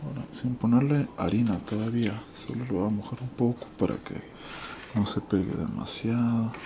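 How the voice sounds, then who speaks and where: Soft-spoken and at a moderate pace, a man talks over noticeable background noise. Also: ordinary pitch variation. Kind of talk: ASMR cooking tutorial.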